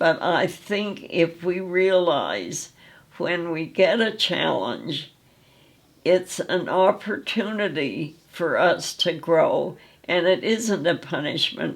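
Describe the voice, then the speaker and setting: A woman speaks very slowly in a fairly low pitch, with vocal fry. Her pitch varies in an ordinary way. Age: 80s+. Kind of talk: interview answer. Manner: warm.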